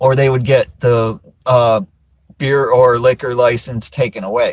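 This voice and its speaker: A man with an American accent talks at a fairly slow pace. His pitch is medium. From South Florida. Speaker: live streamer. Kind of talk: casual live-stream chat. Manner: many fillers and hesitations.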